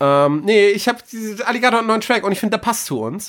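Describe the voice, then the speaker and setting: Using lively intonation, a man talks at a fairly quick pace. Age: 20s. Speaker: podcast host. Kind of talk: casual chat. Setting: studio.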